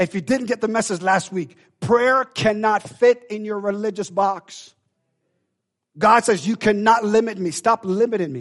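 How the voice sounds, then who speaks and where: In a dry, close sound with no echo, a man with a high pitch speaks at a moderate pace in an animated tone with ordinary pitch variation. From Jamaica. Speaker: preacher. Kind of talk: sermon. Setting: church. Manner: animated, exhortative, call-and-response.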